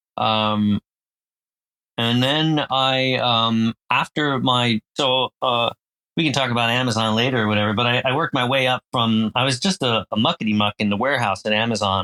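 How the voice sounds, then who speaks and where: A man speaks with an American accent at a medium pitch and a moderate pace. His pitch varies in an ordinary way, and his loudness stays very even. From US Northeast, semi-rural New Jersey. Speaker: author, language school co-founder and filmmaker. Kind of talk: casual interview.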